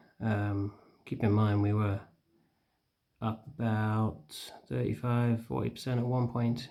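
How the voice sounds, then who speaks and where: Soft-spoken, fairly slow speech in a northern English accent. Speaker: stock trading vlogger. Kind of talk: casual vlog commentary. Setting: at home. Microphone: too quiet, hard to hear.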